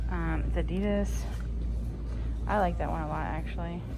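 Over background music, a woman talks at a moderate pace. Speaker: shopping vlogger. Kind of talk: casual vlog chat. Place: shop. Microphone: phone near.

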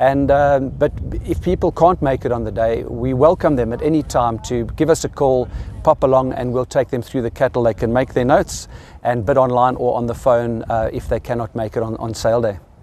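The sound is dry with no echo as a man speaks at a fairly quick pace. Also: ordinary pitch variation. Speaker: auctioneer. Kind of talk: interview answer. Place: farm machine.

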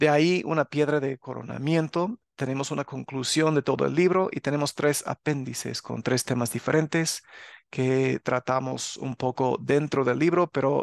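A man speaks at a medium pitch and fairly slow pace, with fairly even intonation, in a plain, everyday voice. The sound is dry and close with no echo, over a quiet background. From US, Los Angeles area (California). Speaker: religious teacher and author. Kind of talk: religious channel talk to viewers. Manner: casual with filler sounds.

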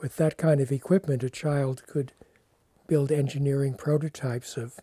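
A man's dark, mellow, somewhat breathy voice at a moderate pace with fairly even intonation, dry with no echo against a quiet background. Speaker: interviewee. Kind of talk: interview answer. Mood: warm, reminiscing, smiling. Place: home room.

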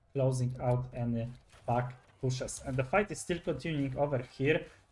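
Pitched fairly high, a man's somewhat breathy voice shows ordinary pitch variation. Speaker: esports commentator. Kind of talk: live sports commentary on a game match.

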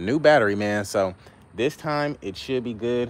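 A man speaks with ordinary pitch variation, the sound dry with no echo and light background noise. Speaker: vehicle flipper vlogger. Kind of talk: casual livestream chat. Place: street. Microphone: phone near.

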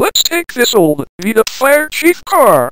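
A put-on character voice at a fairly slow pace. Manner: bossy, scornful.

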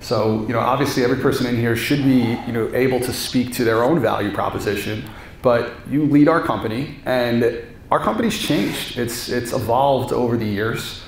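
A man speaks at a moderate pace with fairly even intonation. Light background noise and audible room echo are present. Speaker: real estate manager and event host; event host asking questions. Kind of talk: speaker introduction and Q&A. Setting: stage with audience. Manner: halting, filler-heavy. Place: meeting room. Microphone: handheld.

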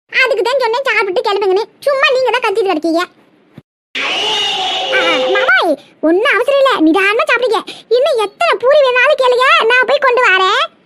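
This cartoonish character voice has lively intonation. Its pace is moderate and its loudness very even. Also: woman, extremely high pitch for a woman. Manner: sly, cheeky.

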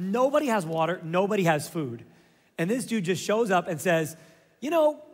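Lively intonation colors a natural reading voice.

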